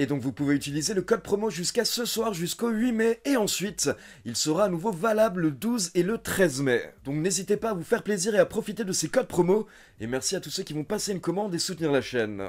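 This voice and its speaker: Lively intonation from a man, delivered fairly quickly. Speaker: wrestling news youtuber. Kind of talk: news commentary. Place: home room.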